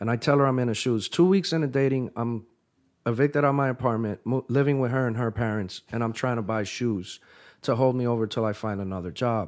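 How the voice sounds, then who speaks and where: At a fairly quick pace, a normal speaking voice comes through with ordinary pitch variation in a very clean recording with a silent background. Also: man. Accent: American. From US Northeast (tri-state area). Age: 30s. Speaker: sneaker store founder. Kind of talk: casual interview. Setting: studio.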